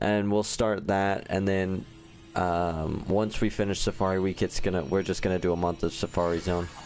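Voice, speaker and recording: Over music in the background, a man with a fairly low pitch talks at a moderate pace in a relaxed tone. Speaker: gaming livestreamer. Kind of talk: casual live stream chat. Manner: casual, relaxed.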